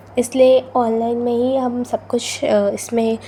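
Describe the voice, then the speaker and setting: A woman talks in a fairly high pitch. Her intonation is monotone and flat. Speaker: student vlogger. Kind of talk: vlog voice-over. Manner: can't speak softly due to cold.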